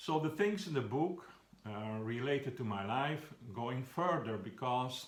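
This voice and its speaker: Somewhat breathy, a man with a Flemish accent speaks with lively intonation amid audible room echo. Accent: Flemish Dutch accent in English. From Belgium (Flanders). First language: Flemish Dutch. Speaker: children's book author. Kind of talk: talking about his own book. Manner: halting, with frequent fillers.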